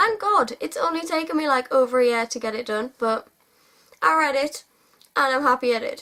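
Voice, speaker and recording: A woman's high, bright, sharp voice in a British accent, raised and projected, with very wide pitch swings. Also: fairly quick pace. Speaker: book vlogger. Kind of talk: casual monologue to camera.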